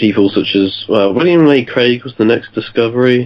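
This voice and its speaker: A man with a British accent at a moderate pace. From UK. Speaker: podcast guest, history graduate. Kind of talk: podcast interview. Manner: halting.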